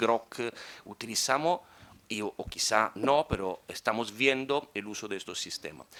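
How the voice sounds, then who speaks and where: In a very clean recording with a silent background, a man with an Italian accent speaks in a bright, sharp tone with ordinary pitch variation. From Italy. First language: Italian (speaking Spanish). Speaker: conference speaker. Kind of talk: conference talk.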